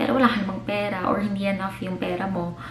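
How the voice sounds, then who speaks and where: A woman with a Filipino accent speaks at a medium pitch. Noticeable background noise and audible room echo are present. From Philippines. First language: Tagalog. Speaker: vlogger. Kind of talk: casual advice vlog, mixing English and Tagalog. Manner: chatty, talkative.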